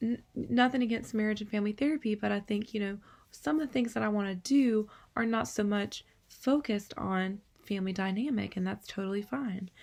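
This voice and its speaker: A woman talks at a fairly quick pace with a somewhat breathy, fairly high voice and ordinary pitch variation. The recording is very clean, with a silent background. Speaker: counseling student. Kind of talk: video reflection for class.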